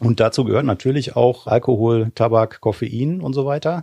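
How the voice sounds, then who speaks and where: A man's medium-pitched voice, dark and mellow, at a fairly slow pace, with a dry, close sound and no echo. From western Germany, Remscheid near Wuppertal. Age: 40s. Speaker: cannabis lobby association director. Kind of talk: debate discussion.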